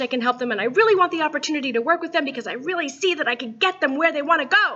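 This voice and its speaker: A woman uses a raised, projected voice with very wide pitch swings. Noticeable background noise runs underneath. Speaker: voice and business coach. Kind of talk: coaching video talk. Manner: animated.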